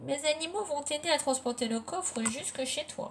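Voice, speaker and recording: Using a put-on character voice, a woman speaks high in pitch at a moderate pace. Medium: read story.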